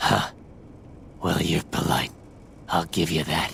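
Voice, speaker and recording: Against clear background noise, a man uses a put-on character voice, very deep and low, at a fairly slow pace. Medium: video game. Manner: sardonic, crude.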